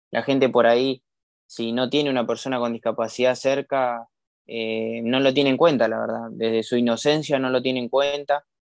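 A man's fairly slow, monotone, flat delivery, dry and close with no echo, over a quiet background. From Argentina, Campana, Buenos Aires province. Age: 20s. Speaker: para-athlete, swimmer and rower. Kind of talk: interview. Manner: halting, many fillers and repetitions.

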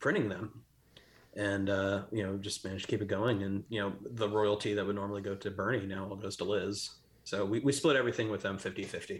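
Very fast, monotone, flat speech with an American accent, somewhat breathy, on a very clean recording with a silent background. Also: man. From Texas (Plano). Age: 40s. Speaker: artist and art director. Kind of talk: casual chat.

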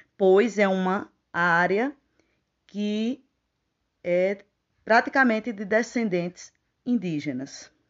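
Very slowly, a woman speaks with a Paraíba accent. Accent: northeastern Brazilian Portuguese (Paraíba). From Paraíba, northeastern Brazil. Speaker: teacher. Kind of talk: personal testimony. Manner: formal.

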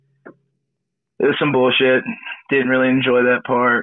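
This is a man speaking at a medium pitch. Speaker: participant. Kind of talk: casual chat. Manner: halting.

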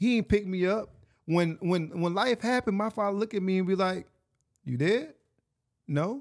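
On a very clean recording with a silent background and a dry, close sound with no echo, a man with a Mississippi accent speaks at a high pitch and moderate pace, with ordinary pitch variation and long, frequent pauses. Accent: Southern US (Mississippi). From US South, Hattiesburg, Mississippi. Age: 30s. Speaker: actor and writer. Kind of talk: casual chat. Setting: studio. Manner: animated.

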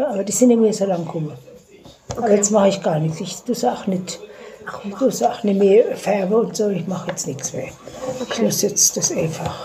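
A woman at a medium pitch, with long, frequent pauses, over noticeable background noise. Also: ordinary pitch variation, moderate pace. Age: 70s. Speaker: grandmother interviewed by granddaughter. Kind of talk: casual chat. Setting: dining room at home. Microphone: phone recording, poor quality.

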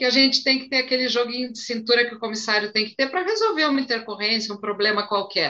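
With a fairly high pitch and ordinary pitch variation, a woman talks in an ordinary speaking voice. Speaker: flight attendant and live stream moderator. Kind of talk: live stream interview.

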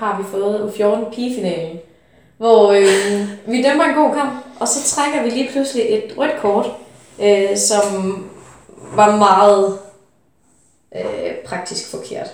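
Through audible room echo, a woman with a fairly high pitch speaks at a very slow pace with long, frequent pauses. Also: ordinary pitch variation. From Denmark, Funen. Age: 20s. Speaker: handball referee. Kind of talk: interview.

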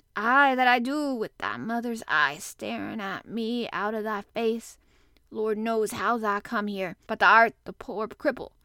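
A woman puts on a shaky character voice at a fairly high pitch. The sound is dry and close with no echo, on a very clean recording with a silent background. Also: fairly slow pace. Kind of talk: dialect speech with 'thou'.

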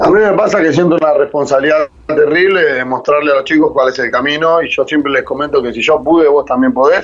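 A man speaks at a very fast pace with ordinary pitch variation and a fairly high pitch. Noticeable background noise runs underneath. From Argentina, Buenos Aires area (San Martín). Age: 30s. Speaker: rugby coach for prisoners, former inmate. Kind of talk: interview testimony.

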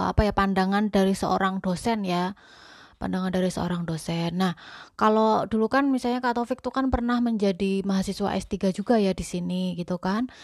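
A plain, everyday voice from a woman at medium pitch, fairly quick and fairly even in intonation, over a quiet background. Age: 30s. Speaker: podcast host, homemaker. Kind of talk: casual chat.

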